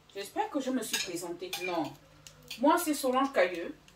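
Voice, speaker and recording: There is noticeable background noise as a woman speaks at a high pitch. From Gabon and Equatorial Guinea. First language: Fang (Equatorial Guinean language) (speaking French). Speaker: cooking YouTuber. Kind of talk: cooking tutorial. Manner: casual, with frequent hesitations.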